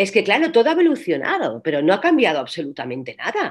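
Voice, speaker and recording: Her voice sits at a medium pitch, with vocal fry. The woman's pitch swings very widely over a quiet background. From Catalonia, Spain (Reus); Catalonia, Spain. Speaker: actress and voice coach; actress, voice coach. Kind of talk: interview. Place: home room. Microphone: video call.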